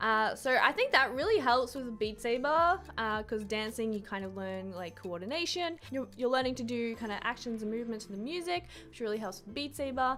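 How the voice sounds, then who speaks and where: A woman with an Australian accent speaks at a fairly quick pace with hardly any pauses, her fairly high voice bright and sharp in tone, with big swings in loudness. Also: lively intonation. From Australia, Brisbane. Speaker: YouTuber and Twitch streamer. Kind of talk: casual Q&A to camera. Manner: casual, lots of fillers.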